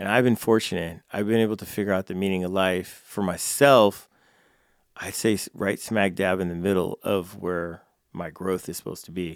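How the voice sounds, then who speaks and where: Against a silent background on a very clean recording, a man with an American accent speaks at a very deep, low pitch and moderate pace with fairly even intonation. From California. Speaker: jiu-jitsu instructor and nonprofit founder. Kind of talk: interview conversation. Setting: studio.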